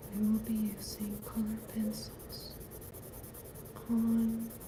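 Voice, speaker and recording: A woman is whispering amid noticeable background noise. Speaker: artist. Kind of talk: ASMR art livestream. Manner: whispered.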